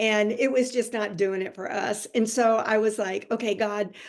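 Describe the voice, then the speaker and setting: Fairly high-pitched, this woman talks at a fairly slow pace with fairly even intonation. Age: 60s. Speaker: digital marketer and ministry coach. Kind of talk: testimony.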